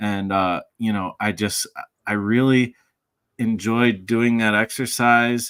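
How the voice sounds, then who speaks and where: This is a plain, everyday voice, moving at a fairly slow pace. Its intonation is fairly even, and the recording is very clean over a silent background. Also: man. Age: 40s. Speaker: music producer and podcast co-host. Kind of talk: casual chat.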